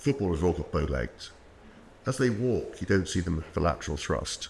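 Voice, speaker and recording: A man with a British accent speaks at a fairly quick pace in a very deep, low pitch that makes very wide swings. His voice is somewhat breathy. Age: 60s. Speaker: orthopaedic knee surgeon. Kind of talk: podcast interview.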